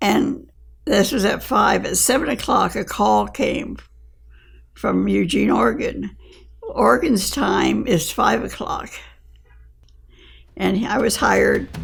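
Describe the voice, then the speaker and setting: Very slow pace, long, frequent pauses and audible room echo. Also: woman. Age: 80s+. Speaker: retired missionary. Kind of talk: testimony.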